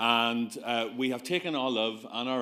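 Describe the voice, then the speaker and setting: With a Belfast accent, a man talks in a bright, sharp tone. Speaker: GP giving a conference talk. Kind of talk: conference presentation. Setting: stage with audience. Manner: animated.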